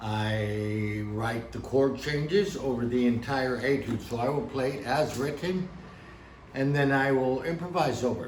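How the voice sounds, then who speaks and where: Recorded with audible room echo and noticeable background noise, an American-accented man talks at a fairly slow pace with ordinary pitch variation. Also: medium pitch for a man. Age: 60s. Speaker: piano teacher. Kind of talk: tutorial. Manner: casual.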